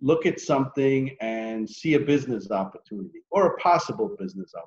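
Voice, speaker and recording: A man talks with lively intonation at a fairly high pitch. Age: 60s. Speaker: entrepreneur. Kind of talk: interview. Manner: hesitant, many fillers.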